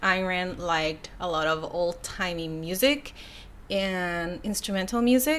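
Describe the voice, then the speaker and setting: A woman's medium-pitched voice with a bright, sharp tone and ordinary pitch variation. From Mexico, border town. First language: Spanish. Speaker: YouTuber. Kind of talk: casual live stream, reading comments. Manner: casual, hesitant with repetitions.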